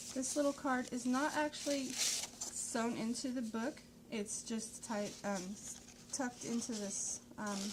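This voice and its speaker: A woman mumbling at a fairly slow pace, fairly high in pitch with fairly even intonation, over noticeable background noise. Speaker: crafter showing handmade journals. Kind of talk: product flip-through tutorial. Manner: casual, halting with fillers.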